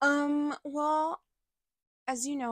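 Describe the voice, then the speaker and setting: A woman with an American accent on a very clean recording with a silent background, dry and close with no echo. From United States. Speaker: podcast co-host. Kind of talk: reading aloud; casual chat.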